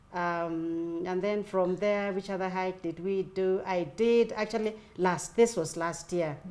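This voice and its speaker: A woman speaks at medium pitch and a fairly slow pace, with fairly even intonation and hardly any pauses. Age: 60s. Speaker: retiree and fitness enthusiast. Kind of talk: casual interview chat. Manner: halting, with many fillers.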